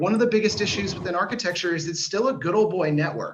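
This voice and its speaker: A man with a Washington D.C. accent speaks with lively intonation. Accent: American (Washington D.C.). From US, Washington D.C. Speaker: startup founder. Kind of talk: sales pitch.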